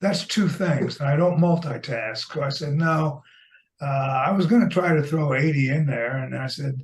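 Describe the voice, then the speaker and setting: The man speaking uses ordinary pitch variation. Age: 80s+. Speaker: poet. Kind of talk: casual chat.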